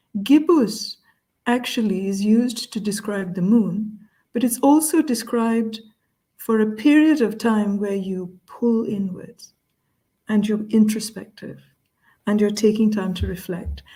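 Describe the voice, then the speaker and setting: A woman's fairly high, somewhat breathy voice with a dark, mellow tone and ordinary pitch variation. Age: 60s. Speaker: culture consultant, interview guest. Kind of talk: video call group chat. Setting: video call. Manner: slow, deliberate; hesitant, many fillers.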